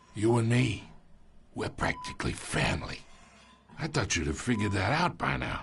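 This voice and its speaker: A man's raspy, put-on character voice, fairly low in pitch and moderate in pace, over faint music in the background. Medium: cartoon. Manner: chuckling, folksy, manipulative.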